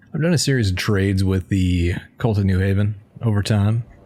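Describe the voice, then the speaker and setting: The voice moves at a fairly slow pace with ordinary pitch variation against noticeable background noise. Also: man. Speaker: gamer, video creator. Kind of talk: casual gameplay commentary.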